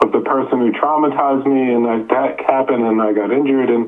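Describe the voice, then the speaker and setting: With an American accent, a man talks at a fairly quick pace in a monotone, flat intonation against noticeable background noise. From upstate New York. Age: 60s. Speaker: author and endurance athlete. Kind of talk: interview testimony. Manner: halting, with repetitions.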